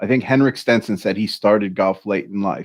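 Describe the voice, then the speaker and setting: A man's fairly low, fairly evenly intoned voice at a fairly quick pace against a quiet background. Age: 40s. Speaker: podcast co-host. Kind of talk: casual chat. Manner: halting.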